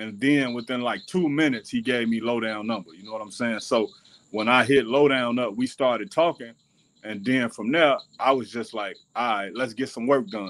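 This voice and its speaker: Moderate pacing from a male speaker, his pitch varying in an ordinary way. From Chicago, West Side; Chicago. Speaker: rapper and independent filmmaker; guest. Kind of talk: interview. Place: home room. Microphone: video call.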